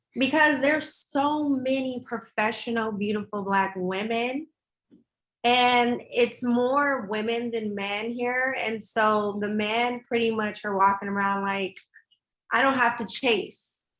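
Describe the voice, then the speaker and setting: With an American accent, a woman speaks at a very slow pace and a fairly high pitch, using ordinary pitch variation. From Los Angeles. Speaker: podcast panelist. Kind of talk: casual chat.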